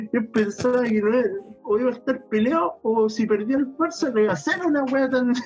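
A man with a Chilean accent, extremely high-pitched, fairly quick, at very even loudness, with noticeable background noise. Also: ordinary pitch variation. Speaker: podcast co-host. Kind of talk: casual chat.

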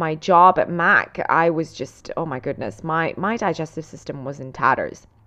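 A woman with an Italian accent speaks in an enthusiastic tone at a fairly slow pace. Her tone is bright and sharp, against a quiet background. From Italy, raised in Dubai. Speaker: fitness and nutrition coach, podcast host. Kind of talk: casual solo monologue, telling personal story. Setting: solo podcast recording. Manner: chatty, enthusiastic, rambling.

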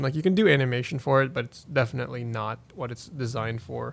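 At a very fast pace, a man speaks with a medium pitch and ordinary pitch variation. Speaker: podcast host. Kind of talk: casual chat. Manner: filler-heavy, casual.

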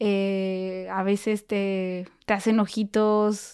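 In a Mexican accent, a woman speaks at a medium pitch, the sound dry and close with no echo on a very clean recording with a silent background. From Mexico. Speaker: au pair. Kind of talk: casual chat. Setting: in person.

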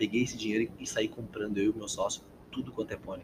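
This man talks at a fairly quick pace with lively intonation. His voice is somewhat breathy. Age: 20s. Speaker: actor and pony breeder. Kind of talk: casual interview chat.

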